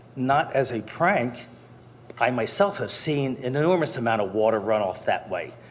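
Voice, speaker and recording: Over noticeable background noise and audible room echo, a man with a medium pitch talks at a moderate pace with lively intonation. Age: 60s. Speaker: resident speaking at public comment. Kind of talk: public comment at council meeting. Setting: council chambers. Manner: formal.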